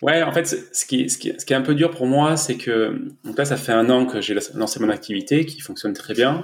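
A man with a normal speaking voice talks at a moderate pace in a fairly high pitch, using ordinary pitch variation and hardly any pauses. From southern France, Var. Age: 30s. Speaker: entrepreneur and new father. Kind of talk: casual interview.

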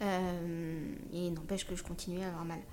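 A woman speaks in a dark, mellow tone at a moderate pace. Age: 30s. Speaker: wheelchair user, social media creator. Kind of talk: personal testimony in interview. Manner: hesitant, many fillers.

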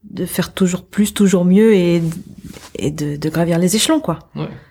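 Fairly low in pitch, this woman's voice has a dark, mellow tone. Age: 20s. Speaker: lead software developer. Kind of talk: interview.

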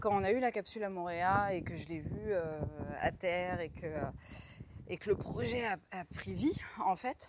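A woman at a medium pitch, speaking at a fairly slow pace. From France, Troyes in Champagne. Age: 40s. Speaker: diver and underwater explorer. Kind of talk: interview. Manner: hesitant.

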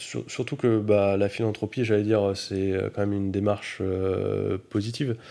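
Dark, mellow tone at a fairly slow pace, monotone and flat in intonation, over a quiet background. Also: man. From France, Grenoble area. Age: 30s. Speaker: philanthropist, foundation founder. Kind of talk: interview testimony. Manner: halting, many hesitations.

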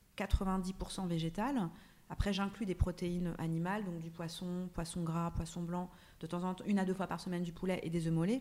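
A woman talks at a fairly slow pace with a fairly low pitch. Her tone is dark and mellow, and her intonation stays monotone and flat. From France, Paris suburbs. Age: 30s. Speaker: actress and wellness blogger. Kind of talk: casual chat. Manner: halting, many repeated words.

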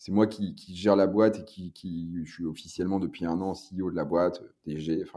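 The man's pitch is very deep and low, with a dark, mellow tone. His intonation is monotone and flat. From northern France, Lille. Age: 30s. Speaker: brewery co-founder and CEO. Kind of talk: interview. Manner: halting, many repetitions and fillers.

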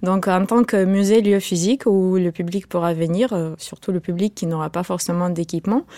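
A woman's dark, mellow voice at medium pitch, fairly even in intonation and moderate in pace, with a dry, close sound, no echo, and a very clean recording over a silent background. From Ukraine. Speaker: museum founder and digital artist. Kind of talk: radio interview.

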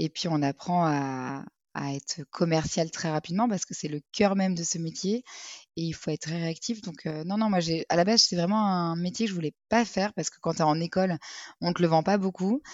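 At a moderate pace, a woman speaks in a plain, everyday voice, fairly low in pitch with ordinary pitch variation. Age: 30s. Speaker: retail advertising sales manager. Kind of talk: casual interview.

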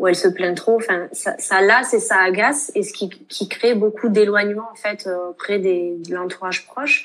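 A woman with an ordinary speaking voice talks at a fairly slow pace and a medium pitch. Her intonation is fairly even, and the recording is very clean with a silent background. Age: 20s. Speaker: nurse and author. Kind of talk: interview testimony.

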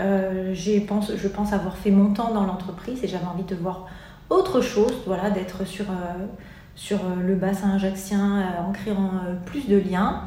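A woman speaks very slowly in a medium pitch with flat, monotone intonation. There is audible room echo and noticeable background noise. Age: 30s. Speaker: life coach. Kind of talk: interview. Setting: in her office. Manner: halting.

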